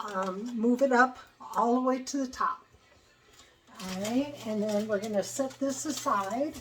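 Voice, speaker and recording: A woman with a high pitch speaks with ordinary pitch variation and long, frequent pauses. Noticeable background noise runs underneath. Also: fairly slow pace. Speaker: home cooking channel host. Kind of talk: cooking tutorial. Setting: home kitchen. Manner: casual, hesitant with fillers.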